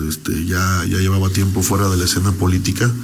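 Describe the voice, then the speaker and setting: Against noticeable background noise and audible room echo, a man speaks at a very fast pace with a fairly low pitch. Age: 30s. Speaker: politician. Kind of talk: radio interview.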